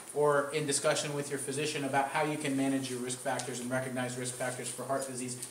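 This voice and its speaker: The room echo is audible and there is noticeable background noise. Through it, a man talks in a fairly high pitch. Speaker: cardiologist giving a public health talk. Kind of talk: lecture. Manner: loud. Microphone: speaking without the microphone.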